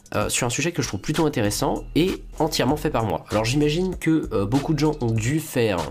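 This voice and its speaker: With music in the background, a man speaks at a fairly quick pace. His medium-pitched voice has lively intonation. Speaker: YouTuber. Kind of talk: video commentary. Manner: hesitant, many fillers.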